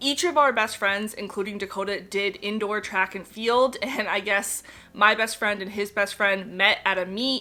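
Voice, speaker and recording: A woman with an American accent speaks at a moderate pace, her medium-pitched voice keeping a fairly even intonation. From Connecticut, US. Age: 20s. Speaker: parenting vlogger. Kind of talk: casual Q&A chat to camera. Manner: chatty, relaxed.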